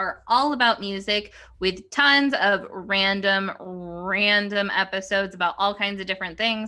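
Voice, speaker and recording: A woman's bright, sharp voice with fairly even intonation comes through in a very clean recording with a silent background. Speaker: podcast co-host, classical musician. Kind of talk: casual chat. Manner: slight stutter.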